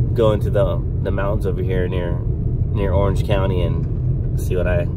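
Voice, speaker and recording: Loud background noise surrounds a man talking at a moderate pace. The sound is dry with no echo. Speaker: reptile-hunting vlogger. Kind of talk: casual vlog chat. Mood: relaxed, upbeat. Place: car. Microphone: phone near.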